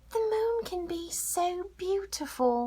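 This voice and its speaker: A woman's squeaky, put-on character voice, extremely high in pitch, fairly slow, with lively intonation. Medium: read story.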